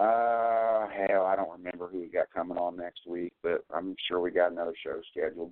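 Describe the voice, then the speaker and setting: A man speaks with a very deep, low pitch at a moderate pace. His intonation is monotone and flat. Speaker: podcast host. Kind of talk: casual chat. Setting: studio.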